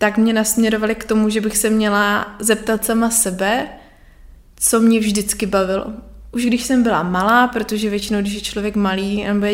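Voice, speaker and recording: The woman's voice is fairly high in pitch. She talks at a moderate pace. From Moravia, Czech Republic (Nový Jičín). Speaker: artist and graphic designer. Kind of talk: casual interview chat. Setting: home living room.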